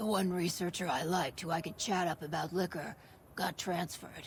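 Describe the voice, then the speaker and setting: A raspy put-on character voice sits at a middle pitch and runs at a fairly quick pace. Background noise is clearly audible. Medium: video game. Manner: dry, laid-back.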